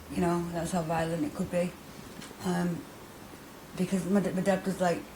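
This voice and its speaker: A woman with a fairly low pitch and ordinary pitch variation talks at a moderate pace while noticeable background noise plays. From Manchester, northern England (Middleton). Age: 30s. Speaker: interviewee, recovering addict. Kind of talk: interview testimony. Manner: hesitant, many fillers and repetitions.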